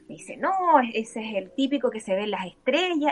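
Very wide pitch swings run through this voice with a Chilean accent. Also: woman. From Chile (born in Antofagasta). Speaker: author and former political staffer. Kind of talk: casual interview.

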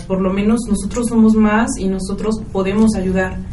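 Medium in pitch, a woman talks at a moderate pace in a flat monotone, with audible room echo and noticeable background noise. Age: 20s. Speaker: startup founder. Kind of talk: radio interview.

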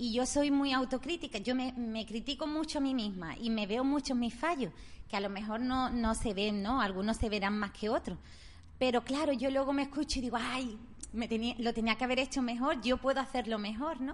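A woman talks at a high pitch. Her pace is fairly quick. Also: ordinary pitch variation. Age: 40s. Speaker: radio co-host, shop worker. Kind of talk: casual chat.

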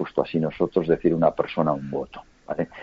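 A man is heard here. His delivery is fairly quick. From Spain, Huesca (Aragon). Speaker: businessman and political analyst. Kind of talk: interview. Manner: measured, calm.

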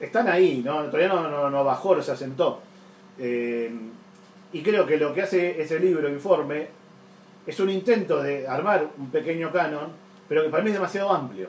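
A man in a Rioplatense accent speaks at a moderate pace with long, frequent pauses, a fairly high pitch and lively intonation, over noticeable background noise. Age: 40s. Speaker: comics artist. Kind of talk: casual chat.

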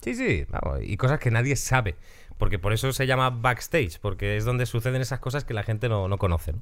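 A man with vocal fry, medium pitch, ordinary pitch variation and a fairly quick pace. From Galicia, Spain. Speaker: podcast host. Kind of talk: casual chat. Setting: studio.

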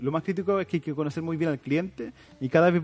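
This man speaks at a very fast pace. His pitch is fairly high. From Chile, Biobío region (San Rosendo). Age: 20s. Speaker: social entrepreneurship centre director. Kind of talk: interview.

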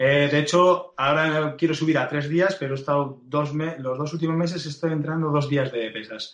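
A man talks at a moderate pace and a fairly high pitch. His intonation stays fairly even. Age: 40s. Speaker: fitness coach and blogger. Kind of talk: interview. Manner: hesitant with fillers.

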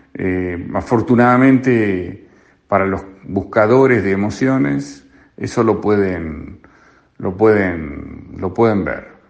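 In a room with audible echo, a man speaks very slowly at a fairly low pitch with ordinary pitch variation. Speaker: radio columnist. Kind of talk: radio commentary. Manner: halting, repeats words.

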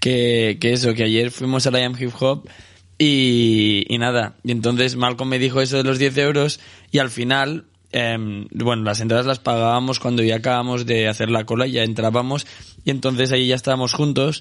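A man's monotone, flat delivery at very even loudness. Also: medium pitch for a man, moderate pace. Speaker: podcast co-host. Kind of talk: casual chat. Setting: studio.

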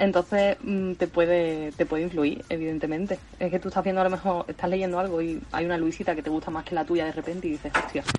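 A woman talks at a very fast pace in an Andalusian accent, with fairly even intonation. Noticeable background noise can be heard. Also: fairly low pitch for a woman. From Spain, Seville (Andalusia). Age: 20s. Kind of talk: casual chat.

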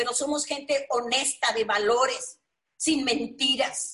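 This is a woman speaking. Her voice is pitched high. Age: 60s. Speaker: network marketing leader. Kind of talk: motivational webinar talk. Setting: online webinar. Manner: animated.

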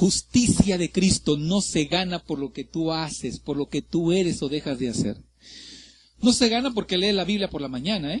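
At a moderate pace and with lively intonation, a man with a high pitch speaks against a quiet background. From Mexico, Ciudad Madero, Tamaulipas. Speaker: pastor. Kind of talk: sermon. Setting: church. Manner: animated.

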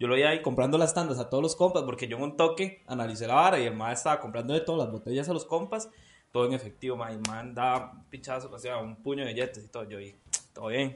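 A man with a Costa Rican accent speaks at a very fast pace, with big swings in loudness. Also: medium pitch for a man, ordinary pitch variation. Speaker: podcast co-host. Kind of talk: storytelling. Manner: animated.

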